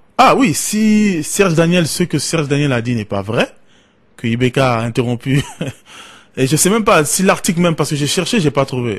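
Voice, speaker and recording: A man talks at a moderate pace in a fairly high, somewhat breathy voice that swings very widely in pitch. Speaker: radio call-in host. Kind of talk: call-in radio show.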